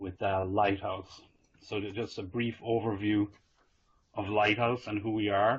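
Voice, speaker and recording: Somewhat breathy and fairly low-pitched, a man with an Irish accent speaks at a fairly slow pace in a monotone, flat way. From Ireland. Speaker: IT consultant presenting a vendor webinar. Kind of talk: business webinar presentation. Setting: working from home, online webinar.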